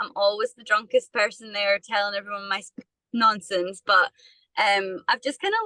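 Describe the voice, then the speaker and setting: A woman's bright, sharp voice with a Scottish accent and ordinary pitch variation, in a dry, close sound with no echo. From Scotland, Perthshire. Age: 20s. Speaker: musician. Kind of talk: interview.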